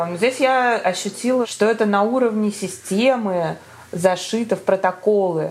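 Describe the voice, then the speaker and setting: A woman with ordinary pitch variation, against noticeable background noise. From Moscow, Russia. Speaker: entrepreneur and new mother. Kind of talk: casual interview.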